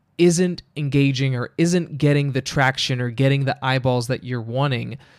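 With an ordinary speaking voice, a man talks at a fairly slow pace and a fairly high pitch, his pitch varying in an ordinary way on a very clean recording with a silent background. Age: 20s. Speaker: wedding DJ and podcast host. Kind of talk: casual solo podcast talk.

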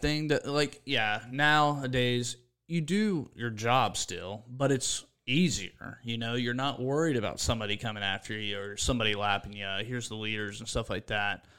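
A man speaks with an American accent at a moderate pace and medium pitch, in a bright, sharp tone. His pitch varies in an ordinary way with hardly any pauses, on a very clean recording with a silent background. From Pennsylvania, Williams Grove area. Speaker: NASCAR spotter. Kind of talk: casual chat. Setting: studio.

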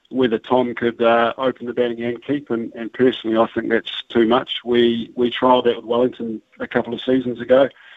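This man has a New Zealand accent and a medium pitch. He speaks at a fairly quick pace. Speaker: cricket coach. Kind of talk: radio interview.

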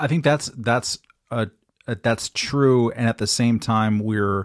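A man with a Californian accent speaks with ordinary pitch variation on a very clean recording with a silent background. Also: dry, close sound with no echo. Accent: Californian American. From Long Beach, California. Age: 50s. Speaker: journalist and political pundit. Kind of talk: interview on talk radio. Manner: halting, many fillers.

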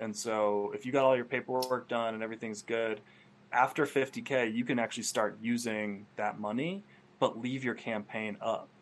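A man with an American accent and a normal speaking voice, medium pitch, moderate pace and fairly even intonation. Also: quiet background. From Vermont, US. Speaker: filmmaker. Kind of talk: casual interview.

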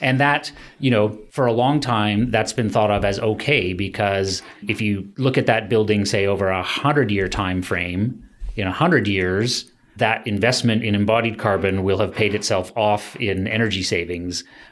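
A man with a Canadian accent speaks at a fairly low pitch and a moderate pace, with ordinary pitch variation. It is an ordinary speaking voice, with very even loudness. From Ontario, Canada. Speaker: sustainable building educator. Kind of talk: interview.

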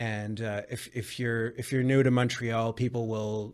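A man's medium-pitched, monotone and flat voice with a Western Canadian accent, on a very clean recording with a silent background. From Vancouver, Canada. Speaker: jazz trumpet player. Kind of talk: interview.

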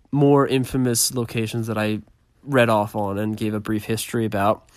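A man's plain, everyday voice at medium pitch, with ordinary pitch variation, on a very clean recording against a silent background. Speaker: paranormal podcast host. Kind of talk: casual solo podcast monologue.

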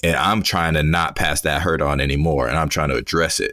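Speaking at a moderate pace, a man with a very deep, low pitch has vocal fry and a bright, sharp tone. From Boston, by way of Hawaii. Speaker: guest, host's friend. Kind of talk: casual book discussion.

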